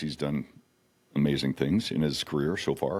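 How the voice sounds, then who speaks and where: A man with vocal fry and an American accent, at a moderate pace. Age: 60s. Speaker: country singer-songwriter and restaurant owner. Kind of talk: casual chat. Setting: studio.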